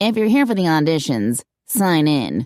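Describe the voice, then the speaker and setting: A nasal, put-on character voice at a middle pitch and moderate pace, in a very clean recording with a silent background. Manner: aloof, disinterested.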